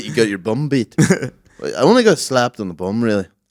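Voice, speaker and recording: This man has a Northern Irish accent and a medium-pitched voice. His intonation is lively. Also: moderate pace. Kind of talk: casual, slangy, swears.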